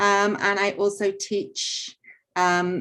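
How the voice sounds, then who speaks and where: An English accent colors the speech. Behind it, the background stays quiet. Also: woman. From England. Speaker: artist and art teacher. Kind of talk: artist talk interview.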